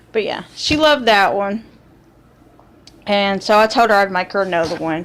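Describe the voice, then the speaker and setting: A woman's fairly high-pitched, unremarkable speaking voice with lively intonation. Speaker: knitting and crochet vlogger. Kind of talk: casual chat.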